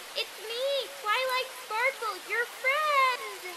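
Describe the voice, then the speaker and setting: In a cartoonish character voice, a female-sounding speaker squeaks out words at a very slow pace and an extremely high pitch. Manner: sugary and unsettling.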